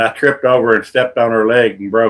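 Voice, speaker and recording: At a fairly quick pace, a man with a medium pitch talks with monotone, flat intonation. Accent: Southern US. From North Carolina. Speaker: birdwatching livestreamer. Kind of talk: casual live stream chat.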